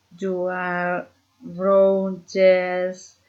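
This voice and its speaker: A woman with a medium pitch speaks with a Spanish accent. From Colombia, Boyacá (Socha). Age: 30s. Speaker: student. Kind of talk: reading aloud. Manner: halting.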